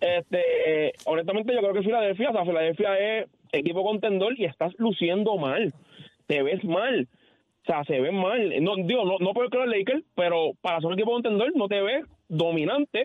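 A man's high voice carries lively intonation while his loudness stays very even. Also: moderate pace. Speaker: caller. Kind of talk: casual sports chat. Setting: phone call.

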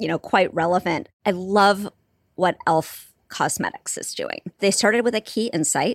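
At a moderate pace, a woman with a Californian accent talks at medium pitch with ordinary pitch variation, dry and close with no echo, in a very clean recording with a silent background. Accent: General American (Californian). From Southern California, Santa Barbara. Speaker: marketing executive. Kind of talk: interview.

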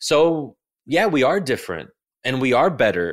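An ordinary speaking voice with lively intonation, delivered at a moderate pace. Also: man. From United States. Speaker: think tank scholar and author. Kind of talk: interview conversation.

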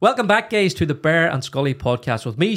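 A man speaks with a Northern Irish accent. His pace is fairly quick. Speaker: podcast co-host. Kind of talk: casual chat.

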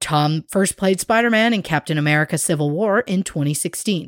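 Her voice is fairly low for a woman, with lively intonation at a moderate pace. The sound is dry and close, with no echo. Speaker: podcast co-host. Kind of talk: scripted narration; casual chat. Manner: speeding up, higher pitch as she drinks.

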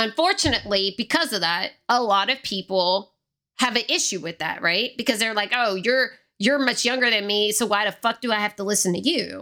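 At a fairly quick pace, the voice carries a bright, sharp tone. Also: woman, fairly high pitch for a woman, ordinary pitch variation, very clean recording, silent background. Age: 30s. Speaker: podcast host. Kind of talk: solo podcast monologue, personal storytelling. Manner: fast talker.

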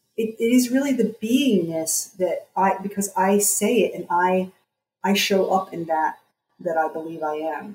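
A woman speaks in an American accent with lively intonation. Her voice is somewhat breathy. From US, New Jersey. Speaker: psychotherapist and coach. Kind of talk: interview.

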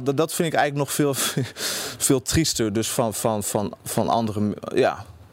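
A man's medium-pitched voice at a moderate pace, with ordinary pitch variation and noticeable background noise. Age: 20s. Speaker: university student. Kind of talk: interview. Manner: halting, many repetitions.

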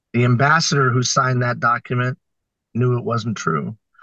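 Speaking at a moderate pace, a man has a plain, everyday voice at medium pitch. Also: dry, close sound with no echo. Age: 50s. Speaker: social entrepreneur and record breaker. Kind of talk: interview.

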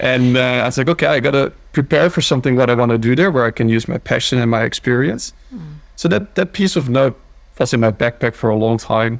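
This man talks at a very fast pace with a Dutch accent. His pitch is medium, with ordinary variation. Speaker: company founder. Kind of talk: interview.

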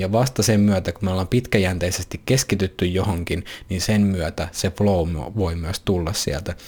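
At a moderate pace, a man with a very deep, low pitch sounds somewhat breathy and uses ordinary pitch variation. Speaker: podcast host and coach. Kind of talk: solo monologue podcast.

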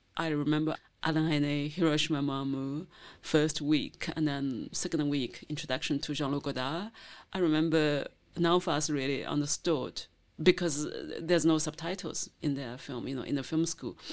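Against a quiet background, a woman with a Chinese accent and a very deep, low voice speaks at a moderate pace with fairly even intonation. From China, rural Zhejiang coast. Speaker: novelist and filmmaker. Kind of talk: interview. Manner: halting.

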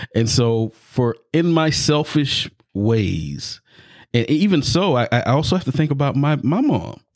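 In a normal speaking voice, a man with an American accent talks at a fairly slow pace, his fairly high pitch carried by lively intonation and very even loudness. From US South. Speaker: podcast host. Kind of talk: casual chat.

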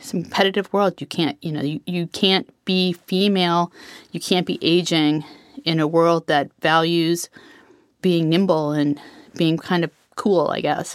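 A woman speaks at a fairly slow pace in an ordinary speaking voice, fairly low in pitch with fairly even intonation. The recording is very clean and dry, close-miked with no echo against a silent background. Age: 50s. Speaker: sales consultant. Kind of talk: personal testimony.

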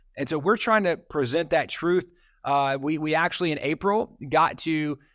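A man's fairly high-pitched, normal speaking voice at a moderate pace, with ordinary pitch variation, on a very clean recording with a silent background. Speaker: ministry leader. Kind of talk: casual interview conversation.

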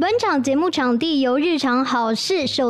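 Amid noticeable background noise, a woman with a Taiwanese accent speaks at a fairly slow pace in a high pitch, with ordinary pitch variation. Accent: Taiwanese Mandarin. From Taiwan, Taipei. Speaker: TV news anchor. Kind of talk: casual chat. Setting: studio. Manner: animated.

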